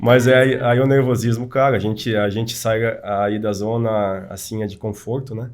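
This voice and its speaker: A man speaks at a moderate pace with hardly any pauses, his pitch medium. His intonation is flat and monotone, and the room echo is audible. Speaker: engineering association representative. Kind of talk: casual chat. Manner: halting.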